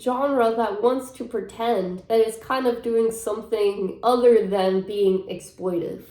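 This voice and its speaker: A woman's fairly high, animated voice at a fairly slow pace, with noticeable background noise. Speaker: film critic. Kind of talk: casual talk to camera. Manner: chatty, animated.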